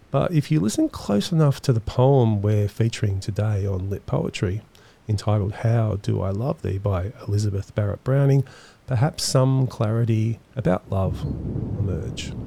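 Moderate pace from a man, somewhat breathy, with ordinary pitch variation. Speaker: podcast host. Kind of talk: poetry analysis podcast narration.

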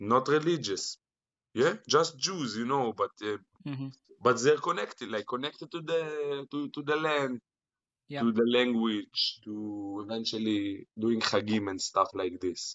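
A man with an Israeli accent speaks at a fairly slow pace, his medium pitch moving with ordinary variation. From Israel, Jerusalem. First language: Hebrew. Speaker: internet personality. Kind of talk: casual chat. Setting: video call.

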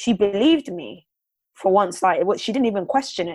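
Speaking at a fairly quick pace, a woman with a London accent has a medium pitch and ordinary pitch variation. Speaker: radio presenter and reporter. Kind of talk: interview testimony.

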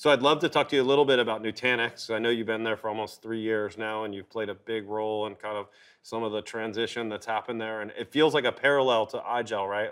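At a medium pitch and a fairly quick pace, a man with an unremarkable speaking voice keeps his intonation fairly even. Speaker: podcast host. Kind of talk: casual interview. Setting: in person studio.

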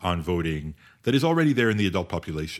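With very wide pitch swings and a fairly quick pace, a man speaks in a very clean recording over a silent background. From Canada. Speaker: law and philosophy professor. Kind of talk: interview. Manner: hesitant with many fillers.

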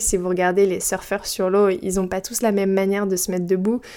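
Her pitch sits at a medium level for a woman. She speaks at a moderate pace. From Brittany, France. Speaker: podcast host. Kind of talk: solo casual podcast monologue. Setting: home recording at her mic.

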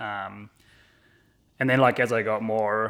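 His pitch sits fairly low. The voice belongs to a man. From New Zealand. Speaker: cinematographer. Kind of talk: podcast interview. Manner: casual, many filler words.

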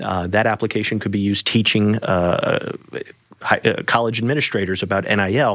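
This man has an ordinary speaking voice. He moves at a fairly quick pace with fairly even intonation. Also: fairly low pitch for a man. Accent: American. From US South, New Orleans. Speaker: attorney. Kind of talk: podcast interview.

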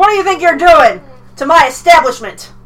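A woman puts on a character voice with an extremely high pitch, talking at a fairly quick pace. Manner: indignant, confronting.

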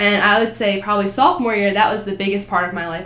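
Amid noticeable background noise and audible room echo, a woman with an American accent speaks at a medium pitch with ordinary pitch variation. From New Jersey. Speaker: college student, education major. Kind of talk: casual interview.

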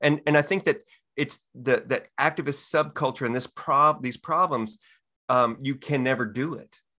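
Here is a man with a fairly high pitch, a bright, sharp tone and ordinary pitch variation, speaking with an American accent. The recording is very clean, with a silent background. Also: moderate pace. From Texas. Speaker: author and activist. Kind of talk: casual interview.

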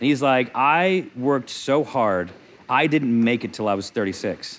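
Lively intonation runs through a man's plain, everyday voice, pitched in the medium range. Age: 40s. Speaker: comedian. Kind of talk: casual chat.

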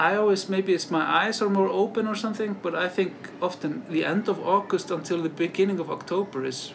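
A man with an Icelandic accent at a moderate pace, with noticeable background noise. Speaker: travel podcast host. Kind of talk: casual interview.

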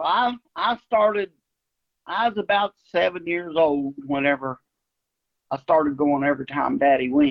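This man has a fairly high pitch and an American accent, with lively intonation. He talks at a moderate pace, with long, frequent pauses. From West Virginia, around Ripley. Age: 60s. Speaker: coonhound breeder and hunter. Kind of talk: casual interview chat.

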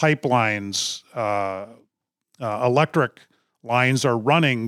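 A man speaks with an Upper Midwest accent and ordinary pitch variation. The sound is dry and close, with no echo. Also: very clean recording, silent background. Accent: Upper Midwest (Minnesota). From northern Minnesota, Duluth. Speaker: conservation nonprofit CEO. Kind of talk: interview.

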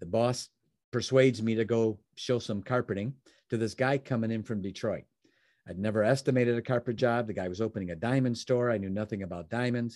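A man with an American accent and an ordinary speaking voice talks fairly quickly at medium pitch. His intonation is fairly even, and the recording is very clean with a silent background. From Chicago, US Midwest. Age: 60s.

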